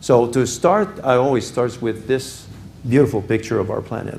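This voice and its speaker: In a room with audible echo, a man talks at a fairly slow pace in a dark, mellow tone that is somewhat breathy. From Quebec, Canada. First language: French (speaking Spanish). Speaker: business executive, guest speaker. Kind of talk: lecture.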